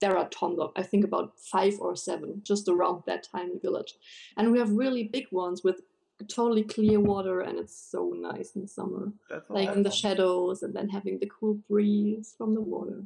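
A woman with a German accent talks at a moderate pace. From Germany, southwest. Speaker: cosplayer, interview guest.

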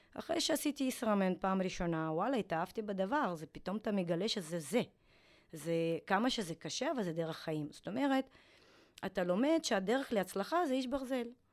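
The woman's pitch is medium, and it swings very widely as she speaks at a moderate pace. The recording is very clean, with a silent background. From former Soviet Union. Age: 40s. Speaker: retired triathlete. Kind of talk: interview.

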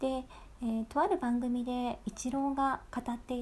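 At a moderate pace, a woman with a high pitch speaks in a dark, mellow tone that is gentle and relaxed. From Bangkok, Thailand (Japanese expat childhood). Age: 20s. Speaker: podcast host and narrator. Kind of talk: casual diary-style monologue. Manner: gentle, relaxed.

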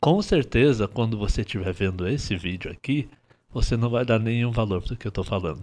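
A man's normal speaking voice at a medium pitch, fairly quick, with ordinary pitch variation, on a very clean recording with a silent background. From Paraná, Brazil. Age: 30s. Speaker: dancer and dance teacher. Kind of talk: casual chat.

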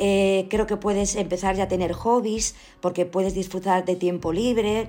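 With a dark, mellow tone, a woman speaks at medium pitch with fairly even intonation. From Spain, Galicia (Ourense). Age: 50s. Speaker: family doctor. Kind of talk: interview.

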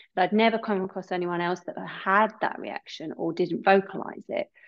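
A woman speaks at a medium pitch with a British accent. Her intonation stays fairly even and her pace is fairly quick. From UK. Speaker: yoga and wellness teacher. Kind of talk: casual interview chat.

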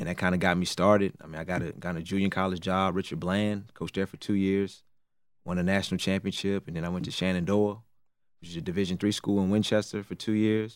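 This man talks very fast in an American accent. His pitch is very deep and low, and his intonation is monotone and flat. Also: very clean recording, silent background. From Raleigh, North Carolina. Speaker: assistant basketball coach. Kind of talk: interview.

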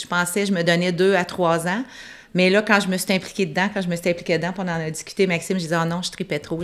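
A woman's fairly low voice, with fairly even intonation, at a very fast pace. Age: 50s. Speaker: pub owner and entrepreneur. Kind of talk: interview.

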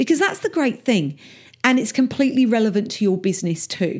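With an Essex accent, a woman speaks using lively intonation. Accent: Essex English, a little rough. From England, Essex. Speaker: podcast host, business coach. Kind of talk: solo podcast monologue. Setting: home office. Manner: casual, chatty.

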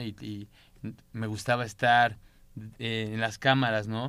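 Flat, monotone intonation marks this man's delivery. His voice is fairly low in pitch. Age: 30s. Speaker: content creator. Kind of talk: casual chat.

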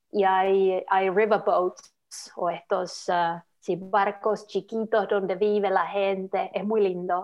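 A woman with a Finnish accent talks at a very slow pace. Her medium pitch follows a fairly even intonation. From Finland, Lapland. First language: Finnish (speaking Spanish). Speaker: social media worker. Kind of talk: interview. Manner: halting.

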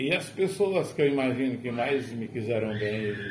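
With audible room echo and noticeable background noise, a man speaks at a fairly slow pace in a medium pitch. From Brazil, rural Rio Grande do Norte (Agreste Potiguar). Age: 60s. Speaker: retired teacher. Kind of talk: casual chat. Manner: formal.

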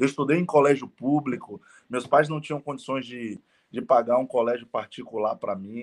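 With an unremarkable speaking voice, a man talks at a moderate pace with ordinary pitch variation. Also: medium pitch for a man. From Bahia, Brazil (Salvador). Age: 30s. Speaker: network marketing entrepreneur. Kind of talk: interview. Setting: live stream.

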